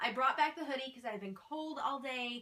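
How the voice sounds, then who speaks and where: A woman's high, bright, sharp voice, raised and projected, with very wide pitch swings at a moderate pace. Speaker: YouTuber recapping TV episodes. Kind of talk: casual vlog.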